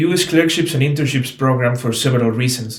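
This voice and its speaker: A man talks very fast in a somewhat breathy voice, with ordinary pitch variation. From Mexico, Oaxaca. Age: 20s. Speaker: medical student. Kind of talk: application presentation, partly scripted. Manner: formal.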